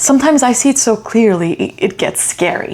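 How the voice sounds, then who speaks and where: Her voice is fairly high for a woman and moves in very wide pitch swings. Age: 30s. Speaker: vlogger, international student. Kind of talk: personal vlog monologue. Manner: emotional, reflective.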